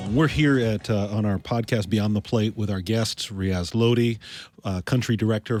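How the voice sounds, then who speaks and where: A man with an unremarkable speaking voice talks at a moderate pace and a fairly low pitch with fairly even intonation. The recording is very clean with a silent background. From Canada. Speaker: podcast co-host. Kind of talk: podcast interview.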